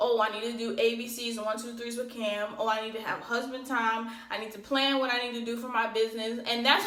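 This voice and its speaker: Noticeable background noise and audible room echo accompany a woman talking at a fairly quick pace with a fairly high pitch. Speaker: lash business owner and vlogger. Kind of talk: casual vlog talk. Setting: home office. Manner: fast.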